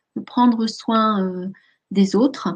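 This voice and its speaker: Somewhat breathy, a woman speaks at a fairly high pitch with fairly even intonation. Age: 50s. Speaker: life coach and hypnotherapist. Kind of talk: webinar presentation. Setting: online webinar. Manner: many hesitations (euh).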